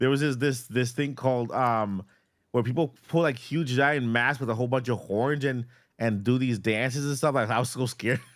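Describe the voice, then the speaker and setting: Heard on a very clean recording with a silent background, a man speaks with a Boston accent at a medium pitch. His pace is moderate, his loudness very even, and his intonation fairly even. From Boston, Massachusetts and Puerto Rico. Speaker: gaming youtuber, podcast co-host. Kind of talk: casual chat. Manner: halting, many repetitions.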